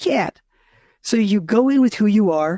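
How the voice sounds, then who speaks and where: A loud, animated voice comes at a moderate pace. The sound is dry and close with no echo, on a very clean recording with a silent background. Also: man. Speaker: narrative designer. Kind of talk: casual chat. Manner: talkative, animated.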